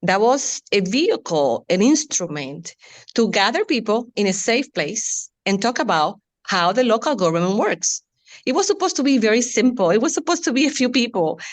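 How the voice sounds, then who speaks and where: A woman with a strong Latin American Spanish accent speaks at a moderate pace, her pitch swinging very widely. Her loudness stays very even against a quiet background. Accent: Latin American Spanish accent, heavy. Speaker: city community outreach staff. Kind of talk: panel discussion. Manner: halting.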